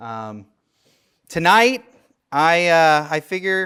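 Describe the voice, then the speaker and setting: Loud and bright with a sharp tone, a man speaks in a Midwestern American accent in a very clean recording with a silent background. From US Midwest, St. Louis. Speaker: theology professor. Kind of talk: lecture.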